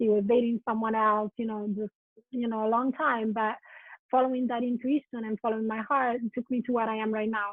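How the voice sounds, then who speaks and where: Here a woman speaks at a fairly high pitch and a fairly quick pace. Her intonation is monotone and flat. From Italy. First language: Italian. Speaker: writer and spiritual counselor. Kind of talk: podcast interview. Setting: video call.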